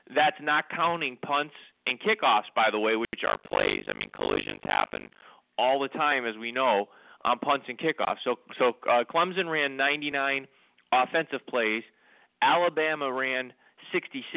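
Using a normal speaking voice, a man speaks at a fairly slow pace in a fairly high pitch for a man with ordinary pitch variation. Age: 60s. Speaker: sports radio co-host. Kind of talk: casual sports talk. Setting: internet radio show.

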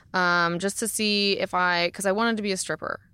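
A woman of medium pitch speaks in a bright, sharp tone on a very clean recording with a silent background. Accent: American. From Florida. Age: 30s. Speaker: stripper and pole dance instructor. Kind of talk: casual chat. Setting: studio.

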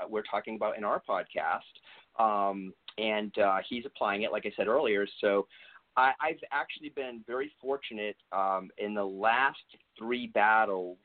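A man speaks at a fairly slow pace with an American accent, his pitch medium and its variation ordinary, in an unremarkable speaking voice. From US East Coast. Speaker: natural bodybuilder and health practitioner. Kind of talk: interview.

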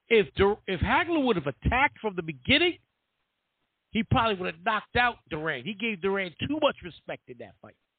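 A man's high-pitched voice at a fairly quick pace, full of very wide pitch swings. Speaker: boxing commentator. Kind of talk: casual chat. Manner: animated.

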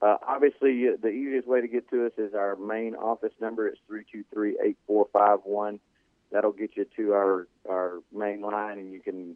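This man's fairly low voice stays monotone and flat as he talks at a moderate pace. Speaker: orthopedic doctor calling in. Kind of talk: radio call-in medical segment. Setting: phone hotline call. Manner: measured, hesitant with filler words.

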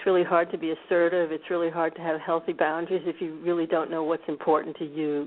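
A woman with an American accent speaks in a fairly low pitch, her intonation monotone and flat. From US, Washington D.C. suburbs. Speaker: author. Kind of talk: interview.

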